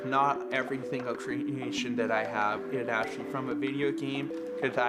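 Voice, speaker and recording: Over music in the background, a man with a medium pitch speaks in an enthusiastic tone at a moderate pace with ordinary pitch variation. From Canada, Saskatchewan. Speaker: puppet designer and entertainer. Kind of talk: interview answer. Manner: casual, enthusiastic.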